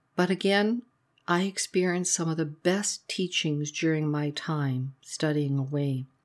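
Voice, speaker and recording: A woman speaks at a moderate pace and a fairly low pitch in a normal speaking voice. The recording is very clean, with a silent background. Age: 60s. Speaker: trauma therapist. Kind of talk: personal narrative monologue. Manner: reflective.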